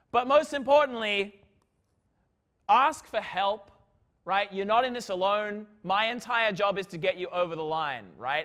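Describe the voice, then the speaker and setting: Loud and animated, a man with a high-pitched, bright, sharp tone makes very wide pitch swings at a moderate pace on a very clean recording with a silent background. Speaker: physics lecturer. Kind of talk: lecture. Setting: lecture hall with students.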